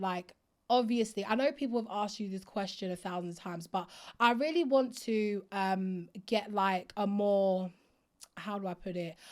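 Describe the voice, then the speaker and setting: A woman's animated, fairly high voice with an Essex accent and ordinary pitch variation, on a very clean recording with a silent background. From Essex, England. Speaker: podcast host. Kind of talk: casual interview.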